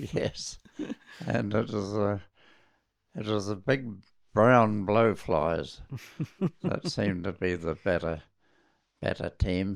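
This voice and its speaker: With a New Zealand accent, a man speaks at a very slow pace and fairly low pitch, using ordinary pitch variation and long, frequent pauses. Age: 80s+. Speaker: RAF and test pilot veteran. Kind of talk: interview answer.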